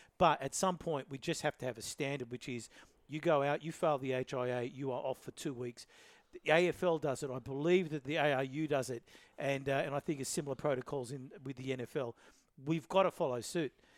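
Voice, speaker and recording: At a moderate pace, a man with an Australian accent speaks in a fairly high voice with fairly even intonation and a dry, close sound with no echo. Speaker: rugby league podcast host. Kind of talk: casual sports chat. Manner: loud, shouty.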